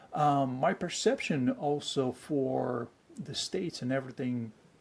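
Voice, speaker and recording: The speaker is a man with a Bulgarian accent. His pitch sits in the medium range. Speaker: actor. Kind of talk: interview. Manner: animated, many fillers.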